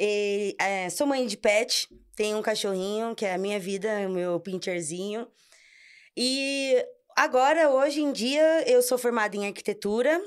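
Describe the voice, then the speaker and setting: A woman speaks with a fairly high pitch and lively intonation in an unremarkable speaking voice. The recording is very clean, with a silent background. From Brazil, São Paulo region (ABC). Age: 30s. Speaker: architect, amateur cyclist. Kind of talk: casual podcast interview.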